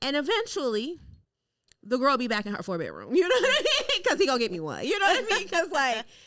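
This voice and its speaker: A woman speaks loud and very fast at a high pitch, her animated tone moving through very wide pitch swings. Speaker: podcast host. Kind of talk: casual chat.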